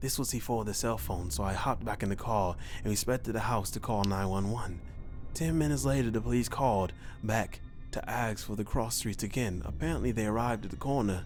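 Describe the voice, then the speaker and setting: Calm in tone yet lively in intonation, a man with a fairly low pitch speaks at a fairly quick pace while music plays in the background. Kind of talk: horror story narration read aloud. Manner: calm, reassuring.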